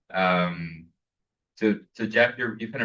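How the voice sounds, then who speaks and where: Pitched fairly low, a man's voice comes through with a bright, sharp tone. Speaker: panel moderator; professor. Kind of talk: panel discussion. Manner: loud.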